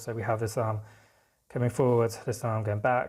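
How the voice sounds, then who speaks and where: A man of medium pitch, somewhat breathy, speaks at a moderate pace with fairly even intonation on a very clean recording with a silent background. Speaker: art teacher. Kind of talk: tutorial.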